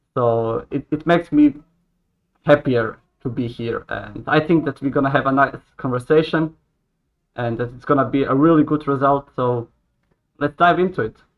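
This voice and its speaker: A man with a Croatian accent and a fairly high pitch, with ordinary pitch variation, long, frequent pauses and big swings in loudness. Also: moderate pace. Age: 20s. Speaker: hotel worker. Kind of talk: casual interview chat. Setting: live stream video call.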